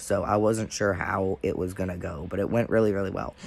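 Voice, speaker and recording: With music in the background, a man talks at a moderate pace and a fairly low pitch, his intonation fairly even. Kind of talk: casual talk to camera.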